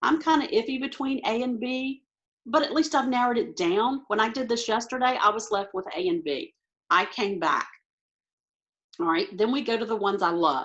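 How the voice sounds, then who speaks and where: A woman talks at a moderate pace in a fairly high pitch. Her voice swings very widely in pitch. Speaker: ACT test prep tutor. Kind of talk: tutorial. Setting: video call.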